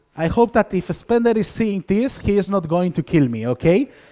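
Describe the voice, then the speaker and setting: A man with a strong Spanish accent, a dark, mellow tone and lively intonation at a moderate pace, in a dry, close sound with no echo. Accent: thick Spanish. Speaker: conference speaker, software developer. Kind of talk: conference talk. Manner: halting, many fillers.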